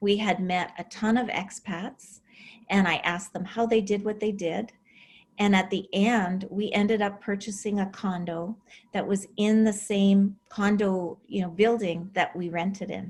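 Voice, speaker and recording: Speaking fairly slowly with a Canadian accent, a woman holds a medium pitch. Her intonation is monotone and flat, and her voice is somewhat breathy. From Alberta, Canada. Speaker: relocation and real estate consultant. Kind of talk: interview.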